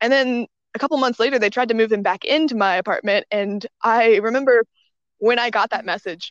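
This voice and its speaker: Speaking at a fairly quick pace, a woman with fairly high pitch and ordinary pitch variation comes through in a dry, close sound with no echo. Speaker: English teacher abroad. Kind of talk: casual chat. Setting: outdoors in the woods.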